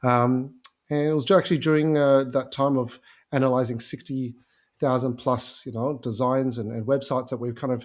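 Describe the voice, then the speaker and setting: In a very clean recording with a silent background, a man with an Australian accent speaks at a medium pitch and moderate pace with fairly even intonation. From Australia, Melbourne. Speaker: agency founder and conversion specialist. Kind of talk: podcast interview. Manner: many filler words.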